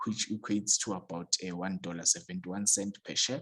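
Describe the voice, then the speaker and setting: The speech moves at a moderate pace with ordinary pitch variation, and the sound is dry and close, with no echo. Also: man. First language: not English. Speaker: stock market YouTuber. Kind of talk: tutorial. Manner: hesitant, many fillers.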